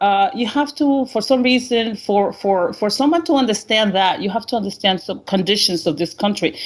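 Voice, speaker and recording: A moderate pace in a Honduran accent, with very wide pitch swings. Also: woman. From Honduras. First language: Spanish. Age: 50s. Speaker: caller. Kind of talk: call-in interview. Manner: halting.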